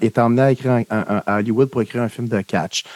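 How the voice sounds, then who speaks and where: With a Quebec accent, a man speaks with ordinary pitch variation in a dry, close sound with no echo. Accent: Québécois French. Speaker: film podcast co-host. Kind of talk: casual chat.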